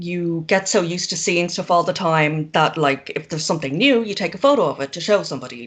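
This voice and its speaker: A woman speaks in an Irish accent with ordinary pitch variation. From Ireland. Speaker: zine maker. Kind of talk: casual chat.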